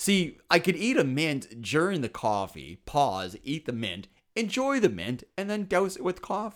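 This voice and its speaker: A man talks at a fairly slow pace in a fairly high voice with vocal fry. His pitch swings very widely. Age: 40s. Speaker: comedian. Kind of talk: casual chat.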